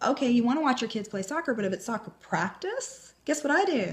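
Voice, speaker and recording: Delivery moves at a fairly quick pace in an animated tone, with very wide pitch swings. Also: woman. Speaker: home business coach. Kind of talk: motivational video talk.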